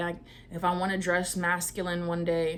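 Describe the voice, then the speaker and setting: A woman speaks in a fairly low pitch. Room echo can be heard around her voice. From New York, partly raised in Georgia. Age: 20s. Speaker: vlogger. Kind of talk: casual personal storytelling vlog. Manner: casual, conversational.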